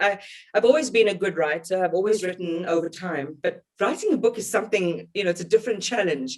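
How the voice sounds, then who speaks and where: In a South African accent, the speaker talks at a very fast pace. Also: woman. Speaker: journalist, broadcaster. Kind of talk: interview answer.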